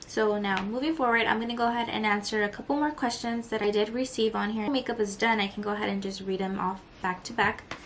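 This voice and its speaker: Quiet and fairly quick, a woman with a fairly high pitch speaks over noticeable background noise. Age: 20s. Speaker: beauty vlogger. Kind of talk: makeup tutorial and Q&A. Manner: casual.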